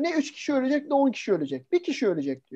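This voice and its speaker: This man has a dark, mellow tone and an extremely high pitch. He speaks at a fairly quick pace. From Turkey, Samsun (early childhood). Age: 40s. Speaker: sales and marketing trainer, lecturer. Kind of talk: online lecture. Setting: video call webinar. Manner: fast; animated.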